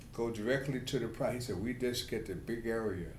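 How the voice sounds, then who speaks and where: A man with a New York accent talks at a medium pitch with fairly even intonation. Room echo can be heard. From New York City. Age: 70s. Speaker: prostate cancer patient. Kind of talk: patient interview. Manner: halting.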